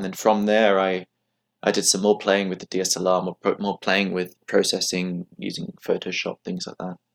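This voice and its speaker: A man with an ordinary speaking voice, fairly low pitch, fairly even intonation and a moderate pace, in a dry, close sound with no echo on a very clean recording with a silent background. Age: 20s. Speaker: remote telescope company co-founder and medical student. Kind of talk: interview.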